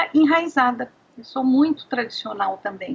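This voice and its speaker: This woman has a high pitch. She talks at a fairly slow pace. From Brazil, Goiás (Anápolis). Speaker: psychologist and gestalt therapist. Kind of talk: interview. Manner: halting.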